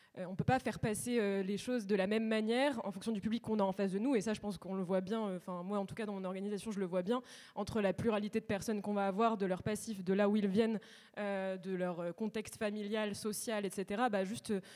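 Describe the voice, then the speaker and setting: A woman's medium-pitched voice at a very fast pace, monotone and flat in intonation. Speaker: student union president. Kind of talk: panel discussion.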